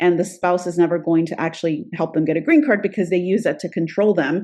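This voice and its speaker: Over a quiet background, a woman talks in a plain, everyday voice with a medium pitch and ordinary pitch variation. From Florida, US (born in Peru). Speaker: immigration attorney. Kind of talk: interview.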